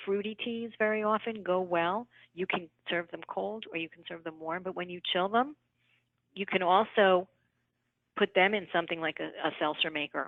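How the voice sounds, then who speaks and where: A woman talks with a New York accent and ordinary pitch variation. Her loudness swings widely. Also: medium pitch for a woman, moderate pace. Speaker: nutritionist. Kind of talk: live Q&A answering questions.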